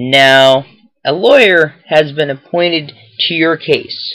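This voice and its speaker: Putting on a character voice, a man speaks at a fairly slow pace in a fairly high pitch with ordinary pitch variation. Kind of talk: courtroom speech. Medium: read story.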